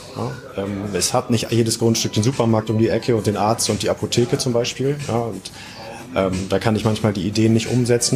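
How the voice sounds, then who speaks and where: A man's fairly low voice at a fairly quick pace, fairly even in intonation, with music in the background. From northern Germany, Oldenburg. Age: 30s. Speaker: real estate developer and investor. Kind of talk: interview.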